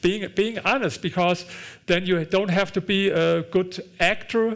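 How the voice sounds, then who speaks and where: A man with a German accent talks at a moderate pace. His pitch is high for a man, with ordinary variation. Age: 60s. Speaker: author and investor. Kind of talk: onstage conversation. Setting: auditorium with audience. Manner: halting, repeats words.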